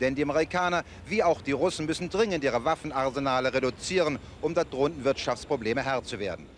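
Over light background noise, a man talks at a very fast pace with ordinary pitch variation and a dry sound with no echo. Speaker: news correspondent reporting. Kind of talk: television news report voiceover. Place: street. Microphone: handheld.

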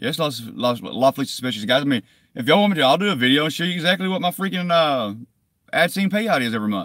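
A man talks at a very fast pace. The background is quiet. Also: dry sound with no echo. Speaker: YouTube cop-watch activist; vlogger. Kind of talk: live stream chat to viewers. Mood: defensive, irritated. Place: car. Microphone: phone near.

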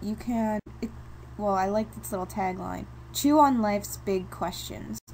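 A woman with an American accent over noticeable background noise. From New York. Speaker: video blogger. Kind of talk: casual vlog. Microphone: microphone problems.

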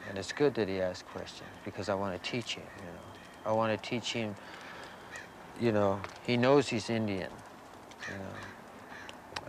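A man's fairly low voice with an American accent at a fairly slow pace, dry with no echo, over noticeable background noise. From US Pacific Northwest. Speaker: prison inmate. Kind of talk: interview testimony. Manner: halting, frequent fillers. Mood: earnest, calm. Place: open country.

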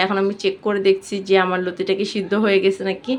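Through noticeable background noise, a woman talks in a monotone with flat intonation. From Bangladesh, Bikrampur (Munshiganj) village. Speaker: cooking vlogger. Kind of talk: cooking tutorial. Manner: casual, chatty.

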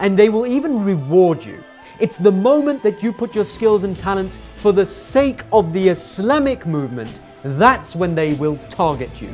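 Faint music plays in the background as the speaker talks at a moderate pace. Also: man. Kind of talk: commentary. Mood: indignant, persuasive. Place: studio. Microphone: lapel.

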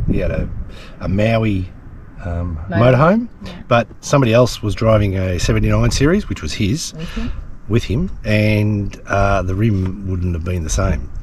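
A man speaks at a fairly slow pace. The sound is dry with no echo, and background noise is noticeable. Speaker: travel vlogger. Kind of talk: casual vlog chat. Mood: wry, joking despite breakdown. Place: open country. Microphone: phone near.

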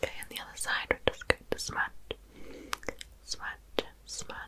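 Soft-spoken and whispering, a woman talks at a fairly slow pace over loud background noise. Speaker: ASMR creator. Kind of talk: soft-spoken ASMR roleplay. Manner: soft close ASMR whisper.

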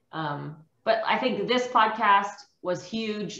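A woman's voice with audible room echo. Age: 30s. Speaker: carnivore diet success story guest; guest. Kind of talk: interview. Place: home room. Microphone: webcam.

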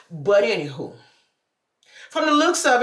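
Audible room echo surrounds a woman whose pitch swings very widely. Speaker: vlogger. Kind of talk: casual vlog talk. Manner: fast.

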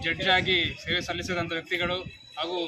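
Over noticeable background noise, a man speaks at a high pitch with monotone, flat intonation. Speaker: local political leader. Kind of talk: public speech. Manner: halting.

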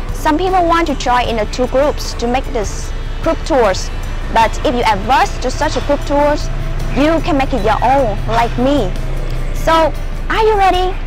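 The speaker goes at a fairly slow pace while clear music sounds in the background. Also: woman, high pitch for a woman, dry sound with no echo. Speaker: travel vlogger. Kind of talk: casual vlog chat. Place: street. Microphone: lapel.

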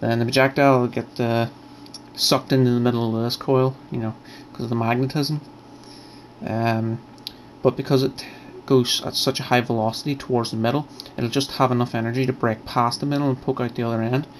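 Fairly quick, monotone, flat delivery over light background noise. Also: man. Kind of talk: tutorial explanation. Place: home room. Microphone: phone near.

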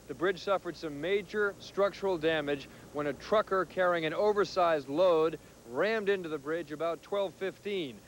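A man speaks at a moderate pace with a high voice and ordinary pitch variation. The sound is dry with no echo, over light background noise. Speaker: TV field reporter. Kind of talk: live news report. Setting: outdoors. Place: street. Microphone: handheld.

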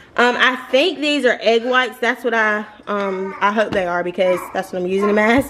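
A woman with an American accent talks at a moderate pace. Her pitch varies an ordinary amount, and background noise is noticeable. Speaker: lifestyle vlogger. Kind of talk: casual chat. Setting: at home. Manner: chatty.

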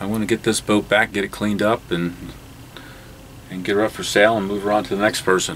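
A man talks at a very fast pace and a fairly low pitch. His intonation is monotone and flat, with light background noise. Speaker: boat owner vlogger. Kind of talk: casual vlog chat. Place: boat. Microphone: phone near.

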